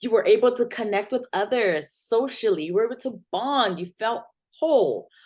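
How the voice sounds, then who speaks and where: A woman's high voice with lively intonation against a quiet background. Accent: non-native. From Nigeria. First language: not English. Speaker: community health nurse, educator. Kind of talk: presentation. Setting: video recording with screen share.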